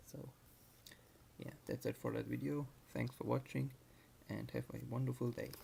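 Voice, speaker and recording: Soft-spoken, a man talks at a moderate pace with long, frequent pauses. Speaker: DIY car hobbyist vlogger. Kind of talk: casual vlog talk. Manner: quiet, soft-spoken.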